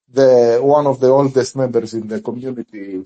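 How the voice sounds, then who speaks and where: The speaker talks at a moderate pace with a Greek accent. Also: man. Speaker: community member of a crypto group. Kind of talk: interview questions in live audio space. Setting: online audio space. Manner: halting, many fillers.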